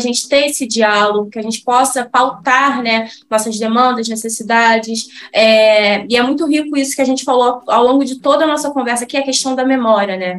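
A woman with a high voice speaks at a fairly quick pace. She has ordinary pitch variation and hardly any pauses. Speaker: podcast host, NGO researcher. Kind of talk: podcast interview.

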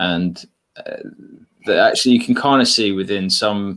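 Here a man talks at a moderate pace with an English accent. His intonation is lively. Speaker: podcast host. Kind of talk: casual chat, livestream interview. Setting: video call livestream.

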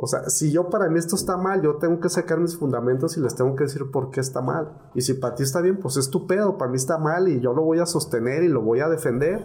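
Amid audible room echo and noticeable background noise, a man speaks very fast in a fairly high pitch with ordinary pitch variation. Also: very even loudness. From Mexico, Guadalajara area (Tlaquepaque). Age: 40s. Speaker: paramedic. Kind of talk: casual chat.

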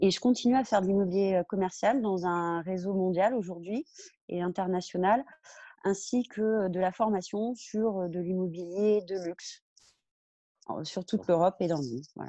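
With a dark, mellow tone and medium pitch, a woman speaks at a moderate pace, using ordinary pitch variation and long, frequent pauses. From Brittany, France. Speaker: real estate professional. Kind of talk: podcast interview.

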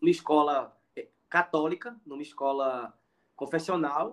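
This is a man's voice. His pitch sits fairly high. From Pernambuco interior, Brazil. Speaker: education professor. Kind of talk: interview conversation. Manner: halting, many fillers.

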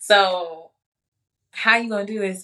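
In a bright, sharp tone, a woman speaks at a fairly quick pace. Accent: American. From Chicago. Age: 20s. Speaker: entrepreneur and spiritual advisor. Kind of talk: casual chat.

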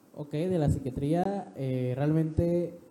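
A man talks at a very slow pace with ordinary pitch variation. Audible room echo is present. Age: 20s. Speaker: young guest. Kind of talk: interview. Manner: halting.

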